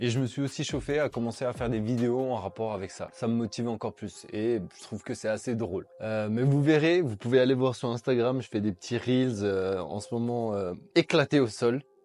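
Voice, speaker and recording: A man at a medium pitch with ordinary pitch variation, fairly quick pace and hardly any pauses, in a very clean recording with a silent background. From France, Turkish heritage. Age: 20s. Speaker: fitness vlogger. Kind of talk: casual vlog to camera. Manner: casual, hesitant with fillers.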